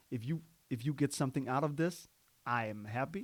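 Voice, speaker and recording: Recorded very cleanly against a silent background, a man with a Danish accent speaks at a moderate pace with medium pitch and ordinary pitch variation. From Denmark, Copenhagen (Amager). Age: 30s. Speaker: podcaster. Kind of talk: casual monologue. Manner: halting, with many fillers and restarts.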